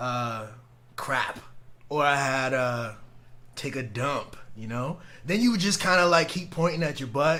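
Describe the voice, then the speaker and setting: A man's bright, sharp voice at a fairly slow pace, with long, frequent pauses and audible room echo. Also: fairly high pitch for a man, lively intonation. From Guadeloupe, raised in Antigua. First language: French. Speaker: podcast co-host. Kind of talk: casual chat. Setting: live stream.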